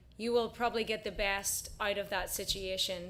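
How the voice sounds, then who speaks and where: A woman with a bright, sharp tone and an American accent. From Northern Ireland, Belfast. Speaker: singer-songwriter. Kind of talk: casual chat between songs on a livestream.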